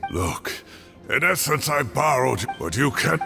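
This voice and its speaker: A raspy, cartoonish character voice from a man at medium pitch, with clear music in the background. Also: moderate pace. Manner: hesitant, defensive.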